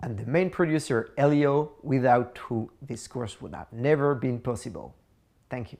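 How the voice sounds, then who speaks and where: A man with a French accent and a medium pitch talks at a moderate pace, with ordinary pitch variation and big swings in loudness. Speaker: course instructor. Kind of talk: tutorial. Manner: halting, many fillers.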